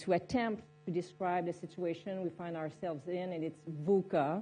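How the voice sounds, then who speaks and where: Over music in the background, a woman with a fairly low pitch talks in a Quebec accent. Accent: French Canadian accent in English. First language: French. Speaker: military general. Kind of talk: panel discussion. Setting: conference stage with audience. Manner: hesitant, many fillers.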